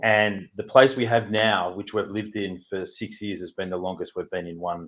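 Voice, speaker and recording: Speaking in a fairly low pitch, this man has a strong Australian accent. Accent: broad Australian. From Australia, Melbourne. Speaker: housing consultant. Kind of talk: interview.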